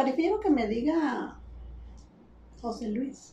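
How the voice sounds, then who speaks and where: A woman speaks very slowly in a high pitch with lively intonation, over noticeable background noise and audible room echo. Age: 50s. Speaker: retired literature teacher. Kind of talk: casual chat.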